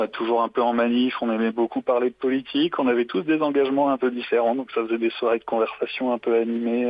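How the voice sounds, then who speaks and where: A man's medium-pitched voice, monotone and flat, at a fairly quick pace. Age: 20s. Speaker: saxophonist. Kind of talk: interview. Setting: phone call.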